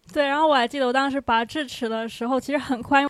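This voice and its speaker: A woman talks very rapidly, her intonation staying fairly level. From Fujian, China. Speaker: audience member. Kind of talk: testimony. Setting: stage with audience.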